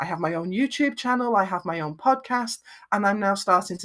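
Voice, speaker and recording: A woman with a Lancashire accent talks at a fairly quick pace in a medium pitch. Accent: Lancashire, northern English, flat vowels. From northwest England, Lancashire. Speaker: video production business owner. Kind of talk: interview.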